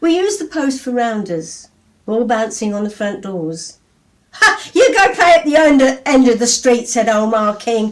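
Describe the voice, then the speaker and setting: Very wide pitch swings from a woman with a high voice at a moderate pace. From England. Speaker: poet. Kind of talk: poetry reading. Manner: lively.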